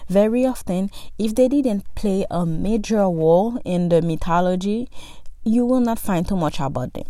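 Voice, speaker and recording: A woman with a non-native accent speaks at a fairly slow pace. Her medium-pitched voice has lively intonation. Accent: noticeable foreign. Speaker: podcast host. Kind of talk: educational monologue. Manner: casual, conversational.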